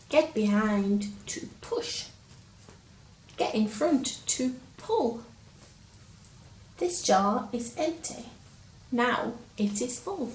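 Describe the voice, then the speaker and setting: Speaking very slowly with long, frequent pauses, a woman with a Lancashire accent has a fairly high voice, with noticeable background noise behind her. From Lancashire, England. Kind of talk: children's story reading.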